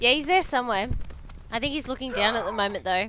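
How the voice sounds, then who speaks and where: A woman's fairly high voice at a fairly quick pace, with ordinary pitch variation and music in the background. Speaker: gaming live streamer. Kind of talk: live game stream chat. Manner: loud; animated.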